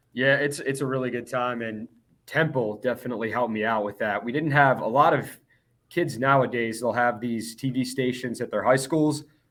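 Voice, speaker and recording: A man with an American accent, medium pitch, moderate pace and fairly even intonation. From Philadelphia area, Pennsylvania. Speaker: TV sports director. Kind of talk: casual interview. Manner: loud.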